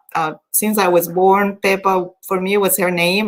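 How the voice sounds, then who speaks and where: Speaking at a moderate pace and a medium pitch, a woman with a Spanish accent keeps her intonation fairly even. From Colombia. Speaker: event host. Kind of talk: personal storytelling.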